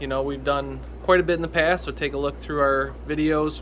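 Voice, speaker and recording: The recording has audible room echo. In it, a man talks at a moderate tempo. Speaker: fish breeder and hobbyist video host. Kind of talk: casual video tour. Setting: home fish basement. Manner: casual, with many fillers.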